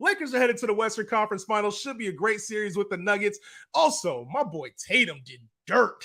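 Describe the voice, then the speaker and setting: On a very clean recording with a silent background, a man speaks in a raised, projected voice with a bright, sharp tone at a fairly quick pace. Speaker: sports podcast host. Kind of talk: casual sports talk show.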